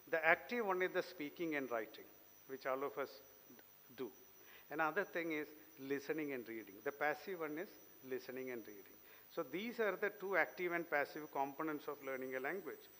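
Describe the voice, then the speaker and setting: In a bright, sharp tone, a man speaks at a fairly quick pace and fairly high pitch with lively intonation. He leaves long, frequent pauses. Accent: Keralan. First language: Malayalam. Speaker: invited speaker. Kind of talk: lecture.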